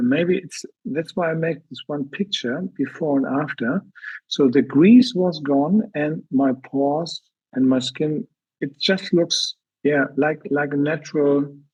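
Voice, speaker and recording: A man talks at a fairly slow pace in a fairly high pitch. His voice is somewhat breathy, with ordinary pitch variation. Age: 60s. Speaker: product distributor giving a testimonial. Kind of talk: testimony. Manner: halting.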